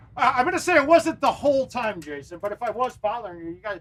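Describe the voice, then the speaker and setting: With a bright, sharp tone, a man speaks at an extremely high pitch and a fairly quick pace, his pitch swinging very widely. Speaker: gaming live streamer and pro arcade golf player. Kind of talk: casual live stream gameplay commentary. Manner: loud; animated.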